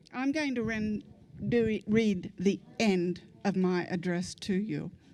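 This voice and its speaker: A woman at medium pitch with ordinary pitch variation, music in the background. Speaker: public commenter at school board meeting. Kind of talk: public comment; prayer read aloud. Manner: quiet, hard to hear.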